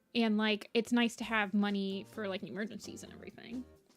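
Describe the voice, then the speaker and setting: Over music in the background, a woman with a Midwestern US accent talks at a moderate pace and a fairly high pitch. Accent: typical Midwestern US. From US Midwest. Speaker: artist streamer. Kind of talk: casual chat. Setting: livestream. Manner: casual, hesitant with fillers.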